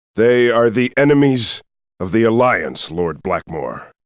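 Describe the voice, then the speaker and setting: A man puts on a character voice, keeping to a medium pitch and a fairly slow pace. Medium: video game.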